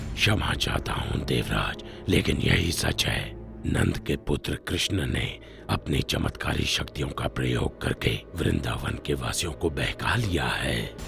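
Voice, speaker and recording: A man speaks at a fairly slow pace in a cartoonish character voice, with clear background noise. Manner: respectful, measured.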